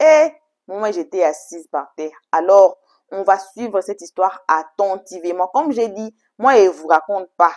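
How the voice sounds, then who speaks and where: A woman at a very slow pace, medium in pitch, with very wide pitch swings. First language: English (speaking French). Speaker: YouTube storytelling channel host. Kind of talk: casual video intro to viewers. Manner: halting, effortful French.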